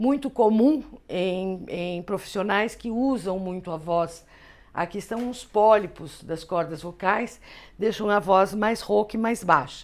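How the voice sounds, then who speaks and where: Over a silent background in a very clean recording, a woman speaks at a very slow pace. Her pitch is medium, with ordinary pitch variation. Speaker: teacher. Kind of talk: lecture. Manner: conversational.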